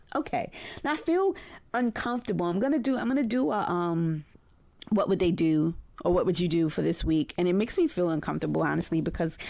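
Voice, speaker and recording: On a very clean recording with a silent background, a woman talks at a very fast pace with very even loudness. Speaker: podcast host and psychotherapist. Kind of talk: podcast monologue.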